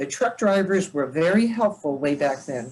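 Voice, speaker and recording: A woman with a fairly low pitch talks using lively intonation. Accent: American. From New Jersey, Dover. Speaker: retired state trooper. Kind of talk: talk with slides. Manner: fast; hesitant, many fillers.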